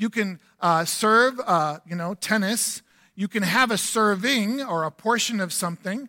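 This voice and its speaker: In a very clean recording with a silent background, a man speaks fairly slowly in a raised, projected, high-pitched voice with a bright, sharp tone and lively intonation. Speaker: guest pastor. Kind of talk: sermon. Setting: church.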